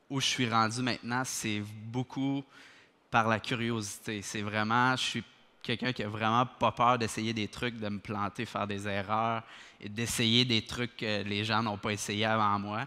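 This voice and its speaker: The delivery is monotone, with flat intonation, at a fairly slow pace. The tone is bright and sharp. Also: man, medium pitch for a man. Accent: Quebec. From Quebec. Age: 20s. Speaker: dental technician, lab owner. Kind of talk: conference talk. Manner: many hesitations (euh).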